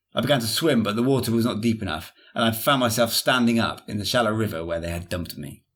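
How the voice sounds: The voice reads in a natural way. It is a natural reading voice.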